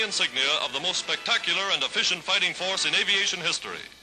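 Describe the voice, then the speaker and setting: A man speaking at a very fast pace, with music in the background. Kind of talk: wartime newsreel narration.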